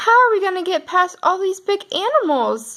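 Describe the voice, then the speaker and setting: A woman's put-on character voice, squeaky and extremely high-pitched, at a moderate pace. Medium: read story.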